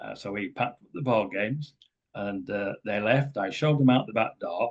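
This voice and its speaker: A man with an English accent, fairly low in pitch, with ordinary pitch variation at a moderate pace. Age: 70s. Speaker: author and speaker on ET contact. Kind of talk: talk to a group. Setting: community center with audience.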